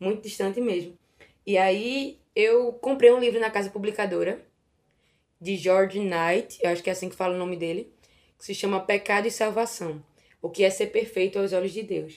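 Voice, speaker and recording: A woman talks in an ordinary speaking voice at medium pitch and a moderate pace. Her intonation is fairly even, though her loudness swings widely. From Recife, northeastern Brazil. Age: 20s. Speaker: Bible content creator on Instagram. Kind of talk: casual Bible study discussion.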